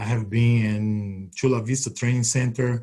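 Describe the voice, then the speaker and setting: In a Brazilian accent, a man speaks at a fairly slow pace with a monotone, flat intonation and a somewhat breathy voice. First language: Portuguese. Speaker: retired Olympic triple jumper and coach. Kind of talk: webinar talk. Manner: halting.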